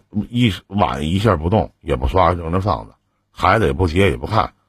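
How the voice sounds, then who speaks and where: Vocal fry marks a man's voice. He talks at a moderate pace with very wide pitch swings. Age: 40s. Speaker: radio call-in advice host. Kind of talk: call-in advice show.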